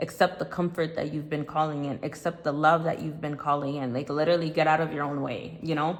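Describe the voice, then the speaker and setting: Very fast and with hardly any pauses, a woman speaks. Her very deep, low pitch stays in a monotone, flat intonation. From Ivory Coast. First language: French. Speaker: tarot reader. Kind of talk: tarot reading.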